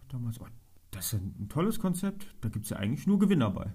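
The voice has a dark, mellow tone, is somewhat breathy, and moves with lively intonation. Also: man. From Germany, Trier. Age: 30s. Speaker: local politician. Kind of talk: interview.

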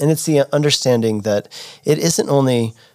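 Here a man talks at a moderate pace with ordinary pitch variation in an unremarkable speaking voice. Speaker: podcast host. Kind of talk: casual interview.

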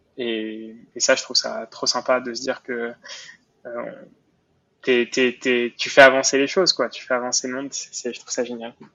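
Speaking at a fairly quick pace, a man uses monotone, flat intonation, with long, frequent pauses and big swings in loudness. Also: medium pitch for a man. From Montreal, Quebec. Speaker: entrepreneur. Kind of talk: interview. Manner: halting, frequent repetitions and fillers.

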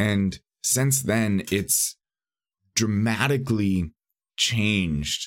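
A man with an American accent speaks at a fairly low pitch with ordinary pitch variation. The recording is very clean with a silent background and a dry, close sound with no echo. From US West Coast, San Bernardino, California. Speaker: podcast host, seminary student and youth pastor. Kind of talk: solo podcast monologue. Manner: filler-heavy, repeats words.

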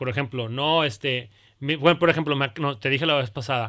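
A man's fairly high, bright and sharp voice with lively intonation at a moderate pace. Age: 30s. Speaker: pediatrician. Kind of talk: casual chat.

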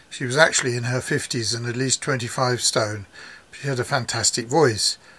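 The clip has a natural reading voice. Its intonation is fairly even.

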